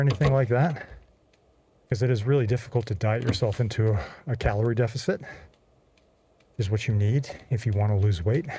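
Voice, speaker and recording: This man talks at a fairly quick pace, somewhat breathy, at a medium pitch with ordinary pitch variation. His tone is dark and mellow. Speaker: gaming fitness vlogger. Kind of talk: gameplay commentary while exercising. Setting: pedaling an exercise cycle while gaming.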